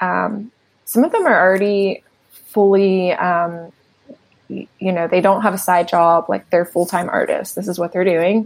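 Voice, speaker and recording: A woman uses a normal speaking voice at medium pitch, keeping a moderate pace and fairly even intonation. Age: 40s. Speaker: art gallery founder. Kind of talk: casual interview chat. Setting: remote call from home.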